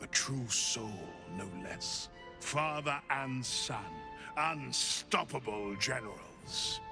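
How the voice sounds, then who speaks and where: A man uses a put-on character voice at medium pitch. Music plays clearly in the background. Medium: machinima. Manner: fervent, solemn.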